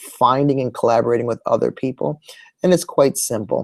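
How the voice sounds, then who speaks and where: Here a man talks at a fairly quick pace. The sound is dry and close, with no echo. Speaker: technology integration educator. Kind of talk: tutorial. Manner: fast.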